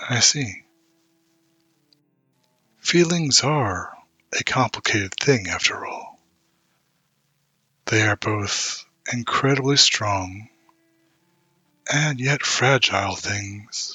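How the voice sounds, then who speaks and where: In a raspy, put-on character voice, a man speaks at a medium pitch with ordinary pitch variation. His pace is very slow, broken by long, frequent pauses. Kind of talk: ASMR audio roleplay. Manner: slow, soft-spoken, intimate.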